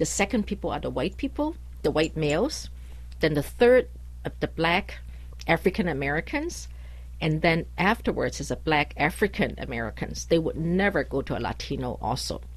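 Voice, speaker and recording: A woman with a Chinese accent at a moderate pace against a quiet background. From China or Taiwan, foreign born Chinese. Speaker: immigration lawyer. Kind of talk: radio interview. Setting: radio studio.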